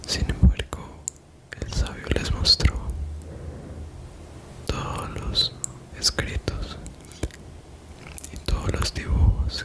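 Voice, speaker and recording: Noticeable background noise fills the recording. Over it, a man whispers. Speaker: 3D artist, ASMR storyteller. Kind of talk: ASMR bedtime story narration. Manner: soft-spoken, relaxing.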